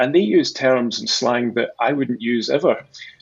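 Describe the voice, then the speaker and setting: A man with a Scottish accent talks fairly quickly at a medium pitch. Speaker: sales executive at a conversational AI company. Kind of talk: interview. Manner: halting, many repeated words.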